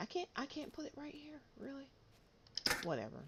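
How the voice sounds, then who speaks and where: A woman is soft-spoken. Noticeable background noise can be heard behind her. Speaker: video game streamer. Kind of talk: casual gameplay stream chat. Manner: hesitant, with fillers and repeats. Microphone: compressor used to boost quiet voice.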